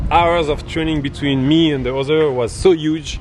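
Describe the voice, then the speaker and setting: A man speaks with a French accent at a fairly high pitch. Noticeable background noise is present. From France, Paris suburbs. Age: 30s. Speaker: startup founder. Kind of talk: street interview.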